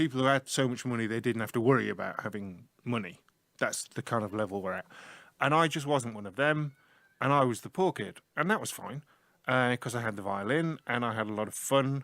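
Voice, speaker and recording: With a northern English accent, a man of medium pitch speaks at a fairly quick pace with ordinary pitch variation on a very clean recording with a silent background. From northern England, Leeds, Yorkshire. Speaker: IT teacher. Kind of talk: casual interview talk about his life. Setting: small room, school radio. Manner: animated.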